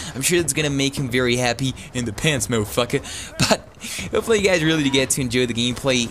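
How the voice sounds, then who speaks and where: A man with a medium-pitched voice speaks in an American accent over noticeable background noise. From Texas. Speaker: gameplay commentator. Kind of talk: video game commentary. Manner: casual.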